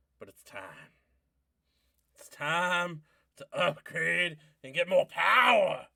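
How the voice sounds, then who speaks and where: The speaker puts on a character voice, raised and projected. The pace is very slow, with long, frequent pauses. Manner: preacherly, sermon-like.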